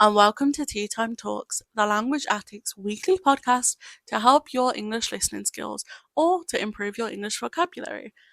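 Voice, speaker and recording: Speaking with a British accent, a woman uses a fairly high pitch and lively intonation at a moderate pace, the sound dry and close with no echo. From United Kingdom. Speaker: podcast host. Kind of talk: casual podcast conversation.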